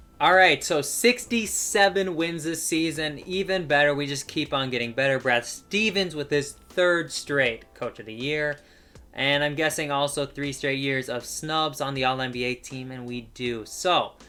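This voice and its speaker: With music in the background, a man speaks at a moderate pace and fairly high pitch, using ordinary pitch variation and hardly any pauses. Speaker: gaming YouTuber. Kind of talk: gameplay commentary.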